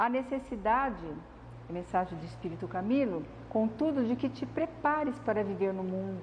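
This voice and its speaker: Soft-spoken, a woman with a medium pitch talks at a moderate pace amid audible room echo. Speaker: spiritist lecturer. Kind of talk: lecture.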